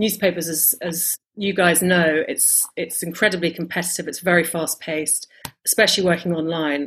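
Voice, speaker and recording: A woman speaks at a moderate pace in a southern English accent, her voice fairly low with monotone, flat intonation. The recording is very clean, with a silent background. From London, England. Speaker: travel writer and editor. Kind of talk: interview. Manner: hesitant, with fillers.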